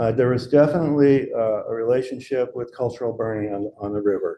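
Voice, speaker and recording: Speaking at a medium pitch, a man uses ordinary pitch variation in a dark, mellow tone. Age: 70s. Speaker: restoration ecologist, invited speaker. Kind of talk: lecture Q&A. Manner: halting, many fillers.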